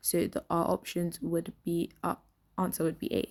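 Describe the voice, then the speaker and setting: A woman's dark, mellow voice, fairly low in pitch, at a fairly slow pace. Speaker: exam tutor. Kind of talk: educational walkthrough to camera. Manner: quiet.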